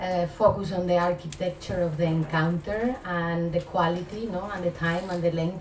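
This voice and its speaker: Amid noticeable background noise and audible room echo, a woman with a Spanish accent talks at a medium pitch. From Spain. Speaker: art curator. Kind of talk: lecture. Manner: halting, many filler sounds.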